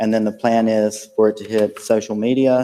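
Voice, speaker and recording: This man speaks in a North Carolina accent with a fairly low pitch and a dark, mellow tone. His intonation is monotone and flat. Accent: Southern US (North Carolina). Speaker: school district program director. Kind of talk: presentation at board meeting.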